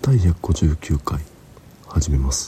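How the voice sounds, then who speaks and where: A man's speech swings very widely in pitch. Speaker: film podcast host. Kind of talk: scripted narration.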